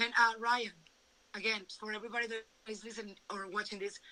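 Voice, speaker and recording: A woman with a Venezuelan accent talks at a fairly quick pace. Her pitch is fairly high. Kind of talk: testimony.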